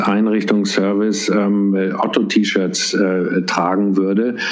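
A man with a fairly low pitch speaks fairly slowly in a monotone, flat way, with audible room echo and noticeable background noise. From Ruhr area, Germany (Essen), later Bavaria. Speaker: retail company executive. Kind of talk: interview.

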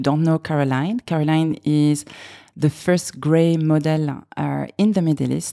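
Recorded dry and close with no echo, a woman with a slight French accent speaks at a very deep, low pitch. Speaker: podcast host, makeup artist. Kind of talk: scripted podcast intro; casual interview chat.

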